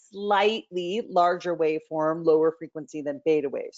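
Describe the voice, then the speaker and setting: A woman's fairly low-pitched voice. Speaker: professor presenting on sleep and brain injury. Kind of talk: lecture. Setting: webinar presentation. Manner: loud.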